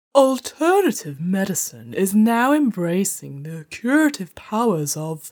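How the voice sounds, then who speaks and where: A woman speaks at a fairly slow pace with hardly any pauses and very wide pitch swings. The recording is very clean, the background silent. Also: medium pitch for a woman. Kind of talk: comic overacting, grand theatre diva. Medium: game stream. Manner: pompous, flirtatious, self-admiring.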